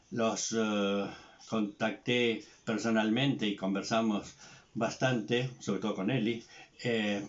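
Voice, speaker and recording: A man's fairly low voice, very slow in pace, with fairly even intonation. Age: 70s. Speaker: psychotherapist. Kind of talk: recorded tribute address. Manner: hesitant with fillers.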